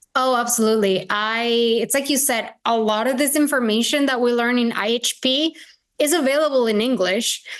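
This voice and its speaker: Moderate-paced speech in a Spanish accent with ordinary pitch variation, very even loudness and a quiet background. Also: woman, high pitch for a woman. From Venezuela. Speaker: integrative health practitioner. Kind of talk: podcast interview.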